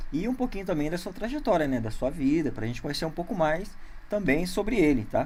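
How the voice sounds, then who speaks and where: Pitch swings very widely as the delivery runs at a fairly quick pace. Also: man, high pitch for a man. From interior of São Paulo state, Brazil. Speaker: podcast host. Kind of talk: casual interview. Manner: halting, many fillers.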